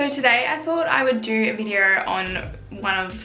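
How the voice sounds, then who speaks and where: With an Australian accent, a woman speaks at a fairly slow pace and a fairly high pitch. Her pitch varies in an ordinary way, and music plays in the background. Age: 20s. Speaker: YouTuber. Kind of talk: casual talk to camera.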